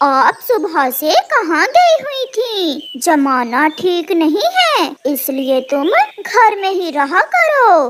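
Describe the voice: A cartoonish character voice at an extremely high pitch drags along at a very slow pace.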